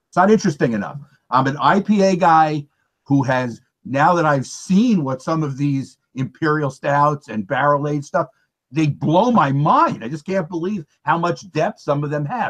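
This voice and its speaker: Lively intonation from a man with an ordinary speaking voice, fairly high-pitched, at a moderate pace, in a dry, close sound with no echo. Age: 60s. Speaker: beer reviewer. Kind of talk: casual chat.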